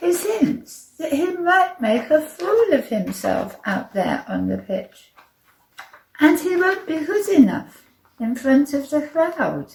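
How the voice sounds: Putting on a character voice, a woman speaks slowly at a high pitch with big pitch swings, vocal fry and a slightly mellow tone.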